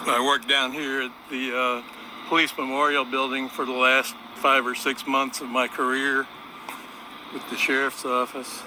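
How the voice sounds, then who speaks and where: A man speaks in a flat monotone. Background noise is noticeable. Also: medium pitch for a man, moderate pace. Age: 60s. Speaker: retired aircraft mechanic, vlogger. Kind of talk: casual walking vlog narration. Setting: outdoors on a riverwalk. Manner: relaxed, with frequent uh fillers.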